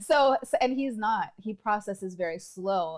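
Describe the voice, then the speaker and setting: With a plain, everyday voice, a woman talks at a fairly slow pace and with lively intonation. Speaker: podcast co-host. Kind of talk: casual chat.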